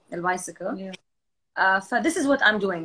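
A woman speaks with lively intonation. Faint music plays in the background. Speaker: live streamer. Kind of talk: casual chat. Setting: video call. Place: home room. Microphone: video call.

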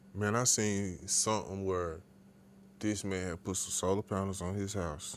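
A man at fairly low pitch and a fairly slow pace, with fairly even intonation and audible room echo. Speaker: podcast co-host. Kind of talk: casual chat.

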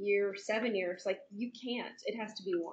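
A woman's somewhat breathy voice at a moderate pace, with fairly even intonation and light background noise. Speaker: audience member. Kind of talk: audience question. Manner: halting. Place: meeting room.

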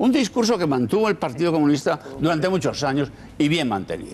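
There is light background noise. A man speaks with very wide pitch swings. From Spain. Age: old. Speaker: political commentator. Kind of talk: panel discussion. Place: studio.

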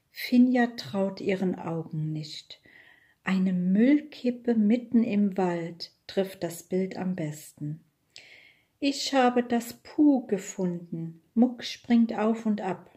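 A woman speaks at a very slow pace and a medium pitch, her dark, mellow tone somewhat breathy and her intonation lively. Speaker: audiobook reader. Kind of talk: children's audiobook reading.

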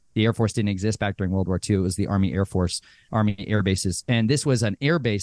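Fairly low in pitch with ordinary variation, a man speaks in a dry sound with no echo against a quiet background. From Arizona, US. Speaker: abuse survivor and author; podcast guest. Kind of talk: testimony. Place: home room. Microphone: studio mic.

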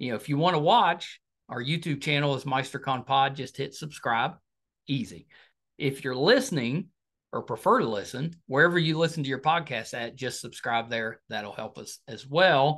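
With an enthusiastic tone, a man speaks at a moderate pace and a fairly high pitch, his loudness swinging widely against a quiet background. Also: ordinary pitch variation. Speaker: podcast host. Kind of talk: interview. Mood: friendly, upbeat. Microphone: video call.

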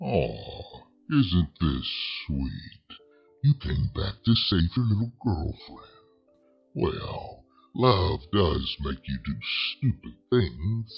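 A man's put-on character voice, very deep and low, very slow, with very wide pitch swings over faint background music. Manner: menacing, mocking.

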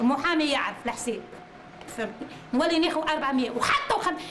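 A woman speaks at a moderate pace in a Tunisian accent with ordinary pitch variation. Noticeable background noise is heard. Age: 40s. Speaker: mother of four pleading for help. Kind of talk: testimony. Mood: aggrieved, indignant. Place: home room. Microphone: camera far.

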